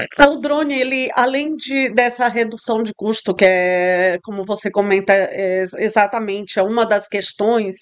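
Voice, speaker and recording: Speaking at a fairly slow pace with hardly any pauses, a woman with a Spanish accent uses a fairly high pitch and ordinary pitch variation. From Brazil, São Luís, Maranhão. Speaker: tech entrepreneur, CEO. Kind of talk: interview. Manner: halting, searching for Portuguese words.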